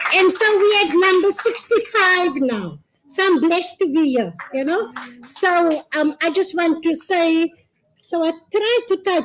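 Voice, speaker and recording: With a South African accent, a woman speaks at an extremely high pitch with ordinary pitch variation. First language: Afrikaans. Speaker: gender-based violence service provider. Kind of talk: public speech. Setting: launch event with audience.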